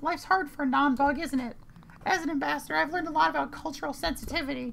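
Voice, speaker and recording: A put-on character voice, high-pitched and strained, rushes at a very fast pace over clear background noise. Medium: game stream. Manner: friendly, earnest, gently self-deprecating.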